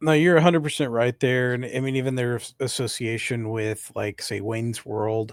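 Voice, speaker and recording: A man speaks at a moderate pace in a plain, everyday voice, medium in pitch with ordinary pitch variation and hardly any pauses. The recording is very clean, with a silent background. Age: 30s. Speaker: metal podcast co-host. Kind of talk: casual debate.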